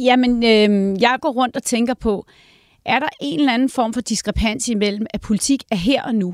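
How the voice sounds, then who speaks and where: A woman with a fairly high pitch and an unremarkable speaking voice talks fairly slowly, recorded very cleanly, dry and close with no echo and a silent background. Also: ordinary pitch variation. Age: 50s. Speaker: think tank director. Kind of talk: casual chat.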